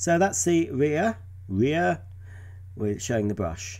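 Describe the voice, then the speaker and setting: A man speaks at a fairly slow pace in a dark, mellow, somewhat breathy voice. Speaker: vacuum cleaner enthusiast video creator. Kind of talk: unboxing and product demonstration video.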